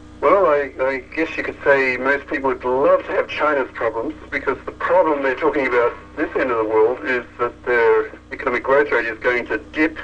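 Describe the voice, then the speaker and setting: With noticeable background noise, a man speaks at a moderate pace with ordinary pitch variation and hardly any pauses. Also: medium pitch for a man. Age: 60s. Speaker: AI researcher. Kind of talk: interview.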